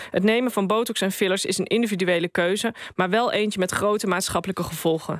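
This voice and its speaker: A woman talks at a very fast pace with medium pitch and fairly even intonation. The recording is dry with no echo, over a quiet background. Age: 40s. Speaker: columnist; radio columnist. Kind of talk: opinion column read aloud. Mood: wry, critical opinion. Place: studio. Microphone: studio mic.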